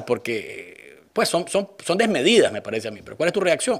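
Against a quiet background, a man speaks with lively intonation at a moderate pace. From Nicaragua. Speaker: news talk show host. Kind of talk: political interview show. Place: studio. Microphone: studio mic.

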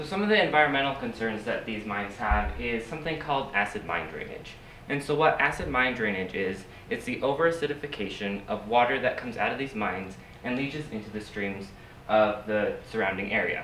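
Fairly quick speech over light background noise with audible room echo. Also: man. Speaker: presenter. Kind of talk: lecture. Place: classroom. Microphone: camera far.

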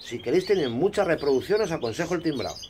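A man talks at a very fast pace with a fairly high pitch and lively intonation. Noticeable background noise runs underneath. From Spain. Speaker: bird breeder and YouTuber. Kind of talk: casual hobby tutorial video.

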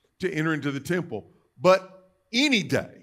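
A man speaks at a fairly slow pace. His pitch sits fairly high. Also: fairly bright tone.

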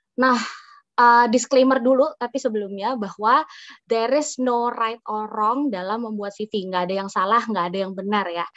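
A woman talks at a moderate pace in a fairly high voice with ordinary pitch variation, an unremarkable speaking voice. The background is quiet and the sound is dry with no echo. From Indonesia. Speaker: doctor and public health officer; webinar speaker. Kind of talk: tutorial. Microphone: video call.

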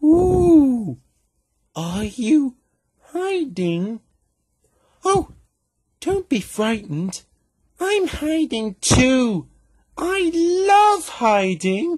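In a put-on character voice, the speaker talks very slowly at a high pitch, with very wide pitch swings and long, frequent pauses. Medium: voice reel. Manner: boastful, cheerful.

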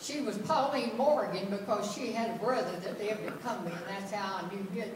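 Audible room echo surrounds a woman speaking. She keeps a moderate pace over light background noise. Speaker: storyteller. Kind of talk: personal story told to an audience. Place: church. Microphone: camera far.

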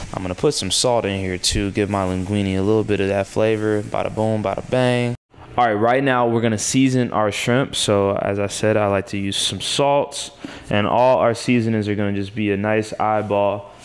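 An unremarkable speaking voice, a man's, fairly low-pitched, at a moderate pace with fairly even intonation. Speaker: home cook host. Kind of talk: tutorial. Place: kitchen.

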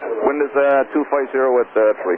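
A man speaks at a medium pitch. His pace is moderate.

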